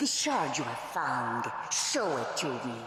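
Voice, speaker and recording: In a put-on character voice at a middle pitch, the speaker goes at a fairly slow pace with a strong echo. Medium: video game. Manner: commanding, cold.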